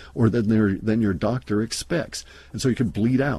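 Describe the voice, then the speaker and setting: A man's fairly low voice with a dark, mellow tone and a fairly quick pace. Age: 60s. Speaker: internet radio host. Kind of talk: monologue talk. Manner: hesitant, many fillers.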